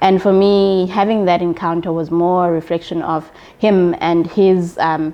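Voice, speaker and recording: A woman's fairly low, monotone, flat voice at a fairly slow pace. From South Africa, Eastern Cape. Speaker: accountant. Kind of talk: interview.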